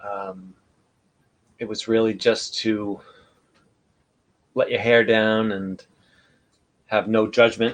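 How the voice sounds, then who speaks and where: A man with a medium-pitched voice speaks very slowly in a flat monotone, with big swings in loudness and long, frequent pauses. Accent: American. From New York. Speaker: livestream host. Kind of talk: casual chat. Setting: live video broadcast.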